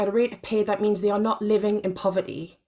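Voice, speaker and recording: A woman with a Geordie accent speaks at a medium pitch. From northeast England, Gateshead. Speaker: panellist, part-time academic and artist. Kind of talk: symposium panel talk.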